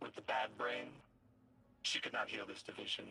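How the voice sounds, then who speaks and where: Putting on a character voice, a man keeps to a medium pitch at a moderate pace. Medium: video game. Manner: grandiose, theatrical.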